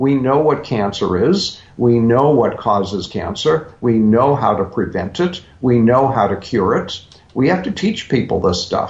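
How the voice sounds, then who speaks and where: The speaker's somewhat breathy voice moves at a fairly slow pace with very wide pitch swings and hardly any pauses. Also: man, medium pitch for a man. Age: 70s. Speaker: health author. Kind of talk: interview. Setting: radio show.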